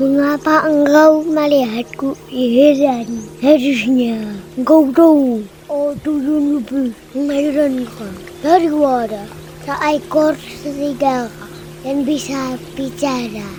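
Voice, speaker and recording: Over clear music in the background, a female-sounding put-on character voice speaks at a very slow pace and a high pitch. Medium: read story. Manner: formal, archaic speech.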